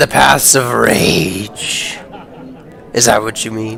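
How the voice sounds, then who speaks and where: Putting on a character voice, a man speaks at a very slow pace with a medium pitch over clear background noise. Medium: actual play.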